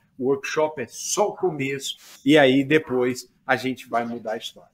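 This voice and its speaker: This is an unremarkable speaking voice, belonging to a man with a fairly high pitch. He keeps a moderate pace and ordinary pitch variation. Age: 60s. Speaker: pasture management professor. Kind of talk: podcast sales pitch.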